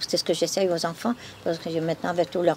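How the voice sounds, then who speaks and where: Noticeable background noise sits under this recording. A woman talks at a very fast pace. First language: Flemish (speaking French). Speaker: museum keeper. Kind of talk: testimony. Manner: halting.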